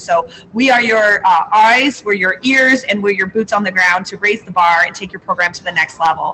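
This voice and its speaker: A woman speaks at a fairly quick pace with a fairly high pitch. Noticeable background noise sits behind her. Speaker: school food service consultant. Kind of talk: live webinar presentation. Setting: convention center. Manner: fast.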